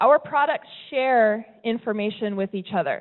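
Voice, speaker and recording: A woman with an American accent and a plain, everyday voice, showing ordinary pitch variation at a moderate pace. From US West Coast, California. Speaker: tech company presenter. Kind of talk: presentation talk. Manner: conversational, some repetitions.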